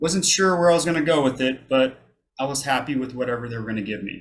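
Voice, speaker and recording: A man of medium pitch talks in an unremarkable speaking voice with ordinary pitch variation. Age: 30s. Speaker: army veteran, college student. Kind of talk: public talk to an audience.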